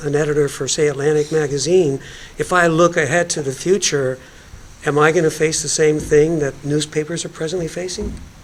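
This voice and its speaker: Amid noticeable background noise, a fairly high-pitched man talks at a moderate pace with fairly even intonation. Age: 70s. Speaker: panelist. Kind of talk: panel discussion.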